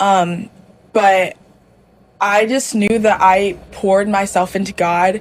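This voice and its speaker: Using an ordinary speaking voice, a woman with an American accent talks at a medium pitch with ordinary pitch variation. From US South, Mississippi. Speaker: student. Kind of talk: casual chat.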